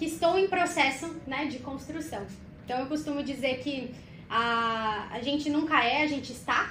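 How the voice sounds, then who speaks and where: A woman speaks at a moderate pace with a high pitch. Audible room echo is present. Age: 30s. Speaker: corporate communications specialist. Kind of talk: podcast interview.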